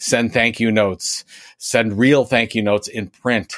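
A man with a normal speaking voice talks at a moderate pace and fairly low pitch with fairly even intonation, in a very clean, dry, close recording with no echo and a silent background. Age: 50s. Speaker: author and marketing speaker. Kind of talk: interview.

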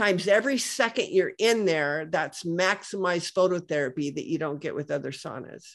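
Against a quiet background, a woman speaks at a fairly quick pace and medium pitch with lively intonation in a normal speaking voice. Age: 60s. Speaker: health products entrepreneur. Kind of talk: interview.

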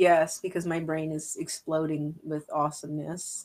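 A woman talks at a fairly slow pace, her pitch low and her tone slightly mellow.

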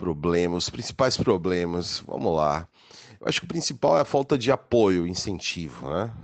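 Lively intonation marks a man's very deep, low voice as he speaks at a moderate pace. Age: 40s. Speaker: radio broadcaster and show producer. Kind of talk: interview.

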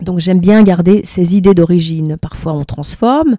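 In a dry, close recording with no echo, a woman speaks fairly quickly in a fairly low pitch, her tone dark and mellow and her pitch varying in an ordinary way. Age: 50s. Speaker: dancer and choreographer's assistant. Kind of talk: interview. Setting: face to face. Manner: hesitant, many fillers and repetitions.

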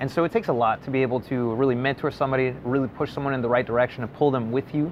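Talking very fast, a man with a medium-pitched voice keeps his intonation fairly even over noticeable background noise. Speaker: podcast co-host. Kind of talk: casual interview chat.

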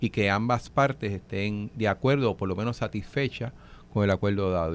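A man talks fairly quickly in a normal speaking voice, medium in pitch with ordinary pitch variation. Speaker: legislator. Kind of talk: radio panel discussion.

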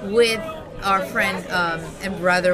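A woman speaks at a medium pitch with an American accent, at a fairly slow pace and with fairly even intonation. The room echo is audible, and crowd noise runs in the background. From Hawthorne, New Jersey, US. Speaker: artist. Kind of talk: casual interview. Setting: bar.

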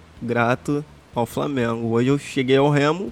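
A man with a fairly high pitch speaks at a moderate pace. His pitch varies in an ordinary way. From Rio de Janeiro, Brazil (Jacarepaguá). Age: 30s. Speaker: professional footballer. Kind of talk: casual chat.

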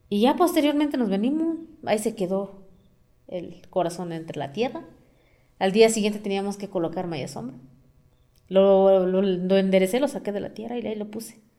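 Long, frequent pauses break up a dark, mellow voice whose pitch swings very widely. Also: woman, medium pitch for a woman, moderate pace, big swings in loudness. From Mexico, Amealco, Querétaro. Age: 30s. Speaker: community forest activist. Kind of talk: interview.

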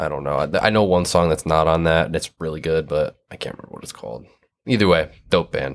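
In a Michigan accent, a man speaks at a very deep, low pitch with vocal fry. His pace is very fast, with ordinary pitch variation and big swings in loudness. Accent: Midwestern US (Michigan). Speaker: hardcore band musician and zine maker. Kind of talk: casual chat.

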